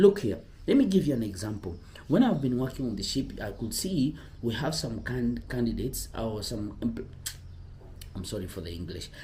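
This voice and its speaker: A man talks in a somewhat breathy, dark and mellow voice with very wide pitch swings and big swings in loudness, and the room echo is audible. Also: medium pitch for a man, moderate pace. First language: not English. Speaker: cruise ship careers advisor, former ship crew. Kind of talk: casual vlog advice talk. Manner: halting, self-correcting.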